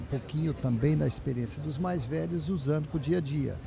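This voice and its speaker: With audible room echo, a man speaks at a moderate pace in a fairly high pitch and lively intonation. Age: 60s. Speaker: business owner. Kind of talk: panel discussion.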